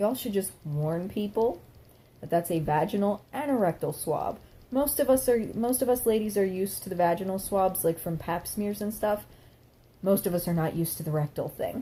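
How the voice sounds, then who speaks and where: This woman's voice sits at a medium pitch, somewhat breathy with a dark, mellow tone and lively intonation. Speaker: vlogger. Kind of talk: casual vlog monologue. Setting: at home. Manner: fast; animated.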